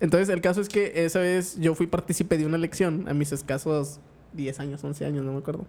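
The speaker talks at a very fast pace in a Mexican accent. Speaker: podcast co-host. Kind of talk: casual chat.

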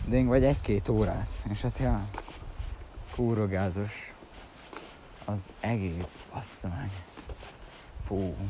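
Very slowly and with long, frequent pauses, a man talks in a room with audible echo and noticeable background noise. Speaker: vlogger. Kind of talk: casual monologue. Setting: outdoors, walking to train at dawn. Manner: rambling, halting.

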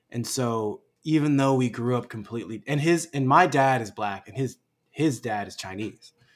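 A man with an American accent speaks in a normal speaking voice at a medium pitch and moderate pace, with ordinary pitch variation. His loudness swings widely, and the recording is very clean with a silent background. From Los Angeles. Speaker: actor and activist. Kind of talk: casual interview.

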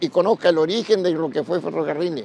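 At a fairly quick pace, a man talks in a high voice with ordinary pitch variation. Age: 80s+. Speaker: retired railway worker. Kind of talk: oral history testimony. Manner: halting, with repetitions.

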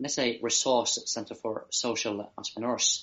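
In a Norwegian accent, a man at a medium pitch talks with monotone, flat intonation. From Norway. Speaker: social entrepreneur, youth leadership guest. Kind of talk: interview conversation. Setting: video call. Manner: halting, with many fillers.

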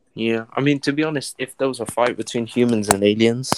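A man with an English accent, medium pitch, ordinary pitch variation and a fairly quick pace. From England. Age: 20s. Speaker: podcast guest. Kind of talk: casual chat. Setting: online video or voice chat.

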